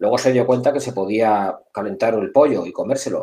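Lively in intonation and fairly quick, a man speaks in a normal speaking voice. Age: 50s. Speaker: security director. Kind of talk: casual interview.

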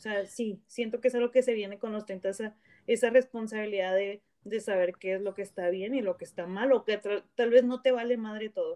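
A woman speaks at a fairly quick clip in a fairly high voice with a dark, mellow tone and fairly even intonation. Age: 30s. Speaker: podcast host. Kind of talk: casual chat. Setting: remote call.

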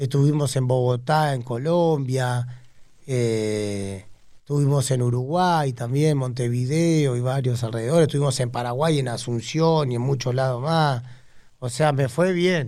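A man speaks at a fairly slow pace with an Argentine accent, his medium-pitched voice dark and mellow in tone, with ordinary pitch variation and audible room echo. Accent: Rioplatense Argentine Spanish. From Argentina, Buenos Aires north zone (Tigre). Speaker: cumbia singer and band leader. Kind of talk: casual interview chat.

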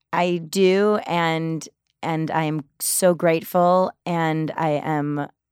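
A woman with an American accent speaks in a plain, everyday voice, fairly low in pitch with fairly even intonation. The recording is very clean with a silent background and a dry, close sound with no echo. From US Midwest, Detroit. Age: 30s. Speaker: Broadway actress and singer. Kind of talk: interview.

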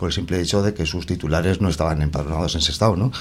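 Against noticeable background noise, the speaking carries ordinary pitch variation. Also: man. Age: 50s. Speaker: councillor, election candidate and teacher. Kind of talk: radio election debate. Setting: radio studio.

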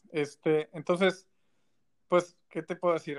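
A man talks at a fairly slow pace with a Mexican accent. The sound is dry and close, with no echo. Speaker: video producer. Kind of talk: casual chat.

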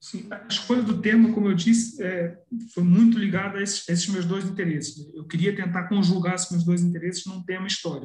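Loudness swings widely in this voice, which moves at a fairly quick pace with fairly even intonation. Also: man, high pitch for a man. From Brazil, Petrópolis (Rio de Janeiro state). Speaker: journalist and historian. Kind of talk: interview. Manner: halting, with frequent repetitions.

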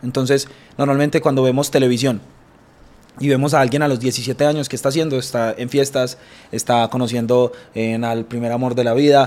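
A man with an Antioquian accent speaks at a medium pitch in monotone, flat intonation. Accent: Colombian paisa Spanish. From Colombia, Bello near Medellín. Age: 20s. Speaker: businessman. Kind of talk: interview.

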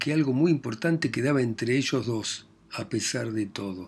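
In a Rioplatense accent, a man speaks at a medium pitch. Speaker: audiobook reader. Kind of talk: literary audiobook reading, narrated novel with quoted dialogue.

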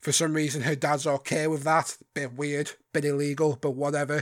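In a very clean recording with a silent background, a man talks at a fairly high pitch with monotone, flat intonation. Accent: British. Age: 20s. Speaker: podcast host. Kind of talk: casual chat.

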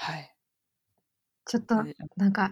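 A woman's somewhat breathy voice at medium pitch, with ordinary pitch variation. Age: 20s. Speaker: iOS engineer. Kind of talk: casual chat.

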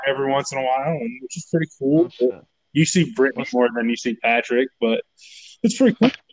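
Talking at a very fast pace with lively intonation, a man with an American accent uses a fairly high pitch, and the sound is dry and close with no echo. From northern Illinois, south of Chicago. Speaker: guest sharing his mental health story. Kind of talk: casual chat.

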